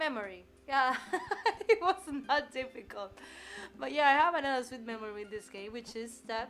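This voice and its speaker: A high-pitched woman at a moderate pace, with lively intonation, big swings in loudness and long, frequent pauses. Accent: Spanish. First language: Spanish. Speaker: gaming streamer. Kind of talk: gameplay commentary. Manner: halting.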